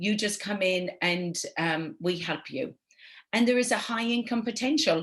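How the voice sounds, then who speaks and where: A somewhat breathy woman's voice with an Irish accent, medium pitch, lively intonation and a moderate pace. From Ireland. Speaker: network marketing entrepreneur. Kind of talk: webinar presentation. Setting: online webinar.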